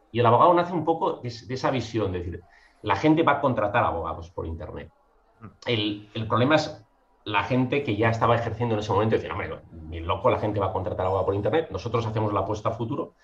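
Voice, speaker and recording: At a very fast pace, a man talks in a somewhat breathy, medium-pitched voice with lively intonation. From Catalonia (Mataró, near Barcelona). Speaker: legal tech entrepreneur, licensed lawyer. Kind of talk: podcast interview.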